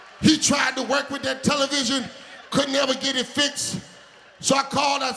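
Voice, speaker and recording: Over noticeable background noise, a man with an American accent projects his voice in an extremely high pitch at a fairly quick pace. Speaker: preacher. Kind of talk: sermon with humorous story, call-and-response.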